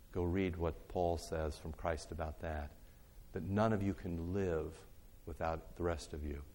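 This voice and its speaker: A man talks at a fairly slow pace in a very deep, low pitch with a dark, mellow tone. His intonation stays fairly even, and audible room echo surrounds the voice. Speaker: pastor teaching a church class. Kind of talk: bible teaching talk. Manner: loud.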